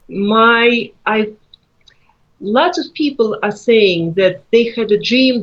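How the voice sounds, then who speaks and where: A woman with a Russian accent and ordinary pitch variation. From Russia, Moscow. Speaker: author. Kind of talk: interview.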